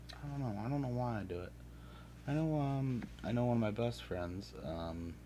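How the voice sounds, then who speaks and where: In a room with audible echo, a man with a dark, mellow tone speaks at a moderate pace with very wide pitch swings. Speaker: streamer painting miniatures. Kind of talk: casual live stream chat. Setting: live stream with game audio. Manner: hesitant, many fillers; mumbling.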